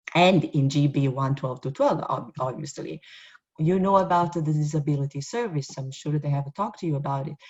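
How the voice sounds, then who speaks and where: In an Italian accent, a woman speaks at a fairly quick pace with a very deep, low pitch. Her voice is somewhat breathy and varies in pitch in an ordinary way. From Italy. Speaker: university professor. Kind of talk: orientation presentation. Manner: halting with many fillers.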